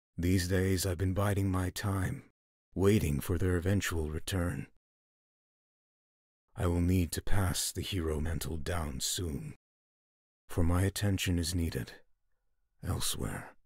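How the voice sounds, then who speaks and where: A man's put-on character voice, very deep and low, solemn in tone, at a moderate pace with long, frequent pauses. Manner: solemn, grave.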